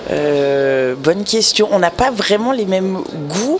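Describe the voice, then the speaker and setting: A woman speaks very slowly at a medium pitch, her voice swinging very widely up and down over noticeable background noise. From mixed: born Lyon, English father, 10 years Montreal. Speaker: music festival programmer. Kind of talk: radio interview. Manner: hesitant.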